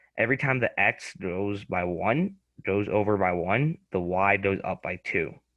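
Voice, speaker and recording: A man's fairly low-pitched voice. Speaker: student tutor. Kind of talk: tutoring lesson. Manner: talkative, verbal; halting with many fillers.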